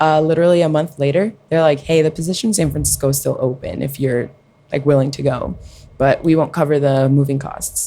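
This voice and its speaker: A woman with a very deep, low pitch and a dark, mellow tone speaks with fairly even intonation. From New Jersey (Belleville) and Colombia. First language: Spanish. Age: 20s. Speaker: podcast guest, nonprofit tech worker. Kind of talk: casual chat.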